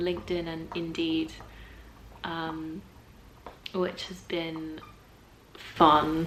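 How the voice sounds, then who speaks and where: A woman with an English accent and a fairly low pitch, very slow pace, long, frequent pauses and big swings in loudness, over noticeable background noise. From England. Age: 20s. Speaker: voice actor. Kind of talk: casual talk to camera.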